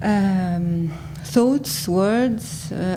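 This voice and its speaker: A woman with an Arabic accent speaks at a fairly low pitch with ordinary pitch variation. There is noticeable background noise and audible room echo. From Syria. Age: 40s. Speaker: graphic designer and cultural archivist. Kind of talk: conference talk read from notes. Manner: halting, many hesitations.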